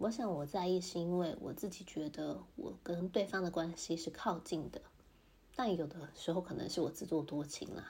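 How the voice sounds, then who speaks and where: The tone is dark and mellow, with vocal fry. Pitch varies in an ordinary way at a moderate pace. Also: woman, fairly low pitch for a woman. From Taiwan. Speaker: podcaster, mother in intercultural marriage. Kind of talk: casual monologue.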